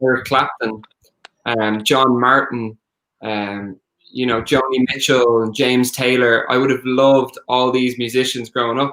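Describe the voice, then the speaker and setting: Bright and sharp in tone, a man with an Irish accent keeps a medium pitch, a moderate pace and a monotone, flat intonation. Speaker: singer-songwriter. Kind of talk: interview.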